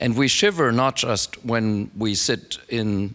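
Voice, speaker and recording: Speaking with a German accent, a man keeps a medium pitch with ordinary pitch variation. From Germany, Frankfurt. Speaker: philosophy professor. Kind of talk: academic talk.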